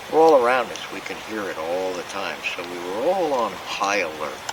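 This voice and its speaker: With an American accent, a man talks at a fairly slow pace amid audible room echo and noticeable background noise. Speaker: camping vlogger. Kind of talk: casual vlog narration. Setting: outdoors at campsite.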